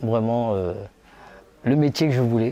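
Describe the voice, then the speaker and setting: Very slowly, a man talks at a medium pitch. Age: 60s. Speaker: retired singer. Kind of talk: interview testimony. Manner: halting.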